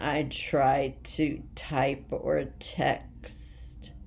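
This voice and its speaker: A woman talks at a very slow pace, with audible room echo around her voice. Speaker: vlogger sharing health journey. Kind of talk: personal video diary. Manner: halting, word-finding pauses.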